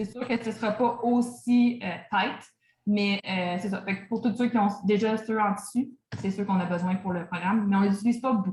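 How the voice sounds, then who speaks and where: With a Quebec accent, a woman speaks at a moderate pace, her medium pitch and fairly even intonation holding throughout. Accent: Québécois French. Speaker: fitness coach. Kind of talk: online training session Q&A. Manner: casual, hesitant with many fillers.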